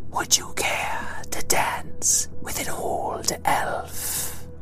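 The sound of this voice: A put-on character voice moves at a very slow pace over loud music in the background.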